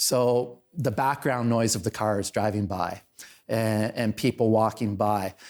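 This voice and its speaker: A man with a Canadian accent speaks at a fairly slow pace and medium pitch, with fairly even intonation and very even loudness. The recording is very clean, with a silent background. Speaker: town councillor and local online show host. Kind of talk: casual podcast interview.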